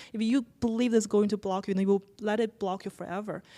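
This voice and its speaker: In a very clean recording with a silent background, a woman with a non-native accent speaks at a fairly quick pace, her fairly high voice dark and mellow, with fairly even intonation. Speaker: writer and podcaster. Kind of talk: interview conversation. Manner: halting.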